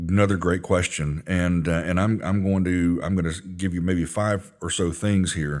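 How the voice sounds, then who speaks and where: In a very clean recording with a silent background, a man with a very deep, low pitch speaks at a moderate pace in a monotone, flat intonation with hardly any pauses. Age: 50s. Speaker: church ministry manager. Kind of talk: Bible study discussion. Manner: hesitant, frequent fillers.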